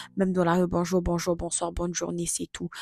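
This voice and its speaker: A woman's voice with music in the background. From Congo. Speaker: vlogger. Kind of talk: casual chat.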